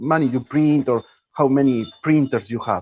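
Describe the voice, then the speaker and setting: A man with a Spanish accent, at a fairly slow pace. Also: dry, close sound with no echo. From Argentina. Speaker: panel discussant. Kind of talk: online panel discussion. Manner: halting, with repetitions.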